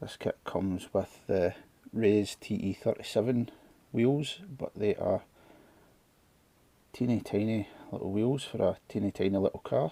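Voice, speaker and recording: With a Scottish accent, a man talks at a fairly slow pace, leaving long, frequent pauses. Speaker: scale model builder. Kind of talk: casual model kit unboxing talk to camera.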